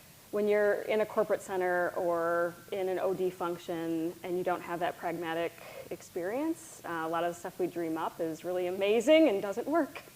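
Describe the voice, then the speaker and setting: A woman at medium pitch with an American accent, a normal speaking voice, a moderate pace and hardly any pauses. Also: ordinary pitch variation. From US Midwest, Wisconsin. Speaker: corporate learning executive. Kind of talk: interview.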